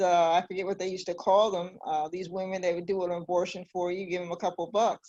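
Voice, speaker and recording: The background stays quiet. A woman's voice sits at a medium pitch. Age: 60s. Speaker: community organization president. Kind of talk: panel discussion. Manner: halting.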